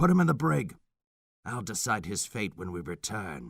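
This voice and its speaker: Growling in a put-on character voice, a man uses fairly low pitch with very wide pitch swings and big swings in loudness. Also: moderate pace. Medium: read story. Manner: archaic, imperious.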